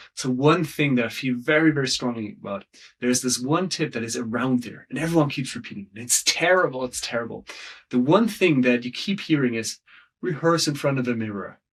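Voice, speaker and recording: At a fairly quick pace, a man talks in an ordinary speaking voice, medium in pitch, with ordinary pitch variation. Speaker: storytelling coach. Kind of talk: interview.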